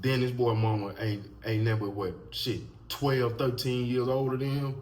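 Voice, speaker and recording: Somewhat breathy, a man talks at a moderate pace with very even loudness in a room with audible echo. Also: medium pitch for a man. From Mississippi, US South. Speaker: YouTube commentator. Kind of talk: casual commentary monologue. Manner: animated.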